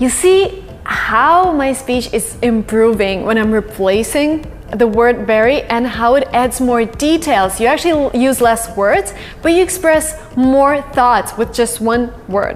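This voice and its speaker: A woman with an American accent speaks at a high pitch. Her pace is fairly slow, with music in the background. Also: lively intonation. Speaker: English teacher / language vlogger. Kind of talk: tutorial.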